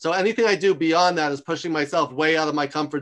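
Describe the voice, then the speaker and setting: Against a quiet background, a man with an American accent talks fairly quickly at a fairly high pitch with fairly even intonation. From New York. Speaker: author and university lecturer. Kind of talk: interview. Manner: loud; fast.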